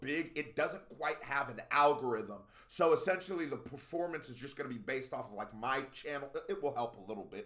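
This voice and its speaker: A man with an American accent talks at a fairly quick pace. His tone is animated, with hardly any pauses. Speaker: YouTube music reactor. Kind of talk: casual reaction video commentary. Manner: fast.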